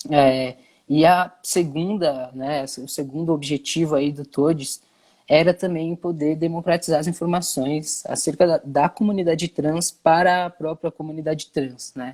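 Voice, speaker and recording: Set in a very clean recording with a silent background and a dry, close sound with no echo, a plain, everyday voice speaks at a fairly slow pace with fairly even intonation and big swings in loudness. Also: man, fairly high pitch for a man. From Brazil, São Paulo city. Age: 20s. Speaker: content creator and activist. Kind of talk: interview.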